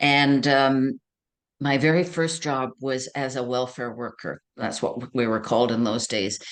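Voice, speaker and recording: With a Canadian accent, a woman talks at a fairly slow pace in a very deep, low pitch and fairly even intonation. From Ontario, Canada. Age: 70s. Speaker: career counselor. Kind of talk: interview.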